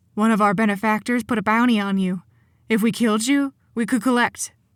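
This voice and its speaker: A woman puts on a character voice at a fairly high pitch, speaking at a fairly quick pace with fairly even intonation in a dry, close sound with no echo. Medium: read story. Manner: nervous, hesitant.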